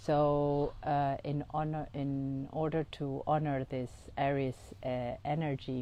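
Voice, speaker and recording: A woman with a non-native accent and a very deep, low pitch, at a very slow pace with monotone, flat intonation. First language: not English. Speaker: integrative oncologist and astrologer. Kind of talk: podcast monologue, guided exercise. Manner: halting, many fillers.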